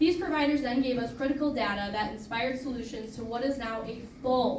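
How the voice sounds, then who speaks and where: A woman's high-pitched voice with ordinary pitch variation, amid noticeable background noise and audible room echo. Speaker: board member presenting an award. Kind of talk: award presentation speech. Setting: luncheon event with audience. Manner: fast.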